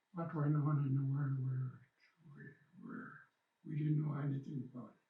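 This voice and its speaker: Here a man talks with a fairly high pitch and ordinary pitch variation. His moderate-paced voice is somewhat breathy. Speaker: First Nation elder, residential school survivor. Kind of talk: interview answer. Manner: hesitant, repeats words.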